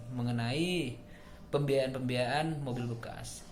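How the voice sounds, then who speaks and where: The man's voice is at a medium pitch. Room echo is audible. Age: 30s. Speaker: job applicant, marketing manager. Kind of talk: self-introduction video. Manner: formal.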